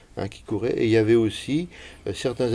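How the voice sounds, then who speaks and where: This man's voice has a dark, mellow tone. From Brittany, near Rennes. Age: 70s. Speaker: village elder recalling local history. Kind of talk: oral history interview.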